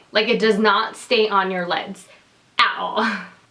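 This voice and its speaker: Through noticeable background noise, a woman talks at a moderate pace and medium pitch with fairly even intonation. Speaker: beauty vlogger. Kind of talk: product review. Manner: casual, filler-heavy.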